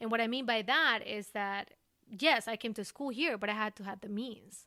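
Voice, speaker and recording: Speaking with an Ecuadorian accent, a woman uses a fairly high pitch, a bright, sharp tone and ordinary pitch variation at a moderate pace, on a very clean recording with a silent background. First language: Spanish. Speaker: recruiter. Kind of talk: podcast interview.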